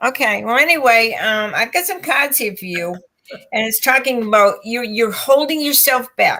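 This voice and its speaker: A woman's high, bright, sharp voice with lively intonation at a moderate pace. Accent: American. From Boston. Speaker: tarot reader. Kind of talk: live stream tarot readings.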